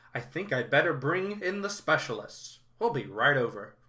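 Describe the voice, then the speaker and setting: Using a put-on character voice, a man mumbles at a fairly high pitch and a moderate pace. His pitch swings are very wide. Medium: read story. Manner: fussy, mumbling.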